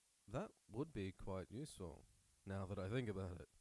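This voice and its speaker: Using a gravelly, put-on character voice, a man speaks at a fairly low pitch. His pace is moderate. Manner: polite, thoughtful.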